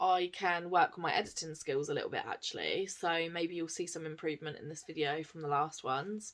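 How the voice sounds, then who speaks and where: In a very clean recording with a silent background, a woman with an English accent talks fairly quickly at a fairly low pitch, with ordinary pitch variation and big swings in loudness. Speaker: cross-stitch vlogger. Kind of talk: casual vlog chat. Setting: home, camera on tripod. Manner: soft-spoken.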